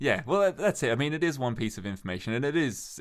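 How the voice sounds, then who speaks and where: Heard on a very clean recording with a silent background, this man has an ordinary speaking voice. His intonation is lively and his pace fairly quick. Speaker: podcast host. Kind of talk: casual chat.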